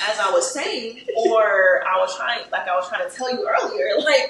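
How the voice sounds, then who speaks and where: At a moderate pace, the speaker's pitch swings very widely, with audible room echo and noticeable background noise. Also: woman. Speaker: podcast co-host. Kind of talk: casual chat.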